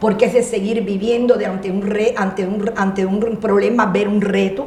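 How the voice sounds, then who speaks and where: Noticeable background noise and audible room echo accompany talking at a fairly slow pace. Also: woman. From Cuba. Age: 60s. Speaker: motivational speaker. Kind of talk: interview. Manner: loud; animated.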